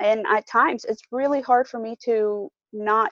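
A woman talks at a fairly slow pace with fairly high pitch. The sound is dry and close, with no echo. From moved to the US at age 10. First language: not English. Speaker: mother in eating disorder recovery. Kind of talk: personal testimony interview. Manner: hesitant, many fillers.

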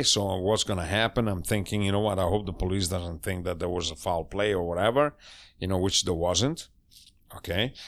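A man with an Italian accent, fairly low in pitch with ordinary variation, on a very clean recording, silent background. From northern Italy, Cremona/Mantova area. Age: 60s. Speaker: chef. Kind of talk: casual interview. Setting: home studio. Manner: animated.

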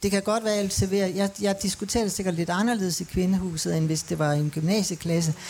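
Over noticeable background noise, a woman talks at a fairly quick pace with hardly any pauses. Her medium-pitched voice keeps fairly even intonation. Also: very even loudness. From Denmark. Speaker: manager of a women's centre. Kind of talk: panel discussion. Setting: live broadcast at a city festival.

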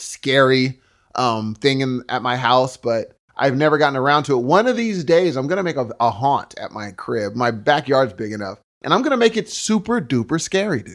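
An animated, loud man with a fairly high voice and very wide pitch swings, at a moderate pace, on a very clean recording with a silent background. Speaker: podcast co-host. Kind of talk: casual chat.

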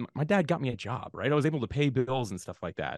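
The man talks extremely quickly. He has an American accent. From Jacksonville, Florida, US. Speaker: podcasting software founder. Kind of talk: interview.

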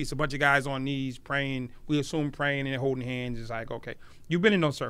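A plain, everyday voice from a man, fairly high in pitch and at a fairly quick pace. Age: 50s. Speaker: podcast host. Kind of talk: interview. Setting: stadium.

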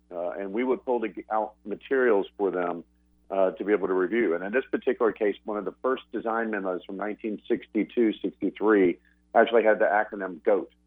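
A man talks in a normal speaking voice at fairly low pitch. His intonation is fairly even. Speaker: company archivist, phone guest. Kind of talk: interview. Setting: phone call.

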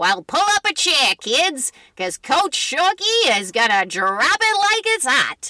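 A put-on character voice from a woman, high-pitched, with very wide pitch swings and a fairly slow pace. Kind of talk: old-timey.

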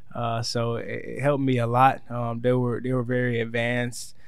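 Medium-pitched man at a moderate pace, monotone and flat, with audible room echo. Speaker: football player. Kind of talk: interview. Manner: halting, many fillers.

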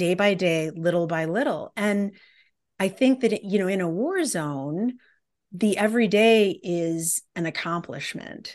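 An unremarkable speaking voice with an American accent moves at a fairly slow pace with ordinary pitch variation. The background is quiet. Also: woman. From US Midwest, Detroit. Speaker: professor and anthropologist. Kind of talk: interview conversation.

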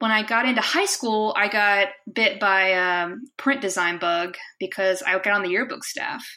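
The tone is bright and sharp. It belongs to a woman at a medium pitch. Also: ordinary pitch variation, moderate pace. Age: 30s. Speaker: software engineer. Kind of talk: casual interview.

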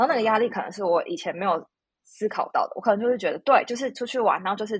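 Very fast and somewhat breathy, a woman's fairly high voice carries lively intonation and big swings in loudness, in a dry, close sound with no echo. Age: 30s. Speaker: podcast guest. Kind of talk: casual chat.

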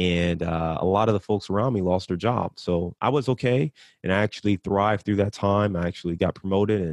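A man with an American accent speaks at a fairly quick pace, his pitch very deep and low and his intonation fairly even. The sound is dry and close with no echo, against a quiet background. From US Midwest, Cleveland, Ohio. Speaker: real estate investor and marketer. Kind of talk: podcast interview.

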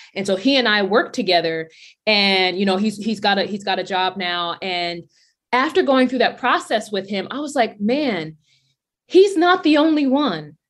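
Against a quiet background, a woman with an American accent speaks at a moderate pace and medium pitch. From US Northeast, Brownsville, Brooklyn, New York. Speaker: career coach for athletes, company founder. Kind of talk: interview.

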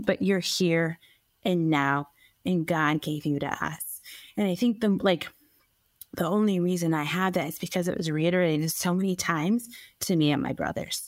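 A woman speaks with an unremarkable speaking voice at a fairly low pitch. Her pace is moderate. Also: ordinary pitch variation, very clean recording, silent background. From US, raised by Norwegian-American parents; born in Colombia. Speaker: stay-at-home mom and adoptee. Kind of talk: casual interview.

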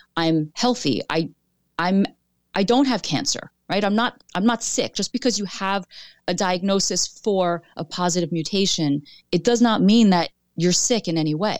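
A woman's medium-pitched voice at a moderate pace with ordinary pitch variation, dry and close with no echo, in a very clean recording with a silent background. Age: 40s. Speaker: author and breast cancer previvor. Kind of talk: interview testimony.

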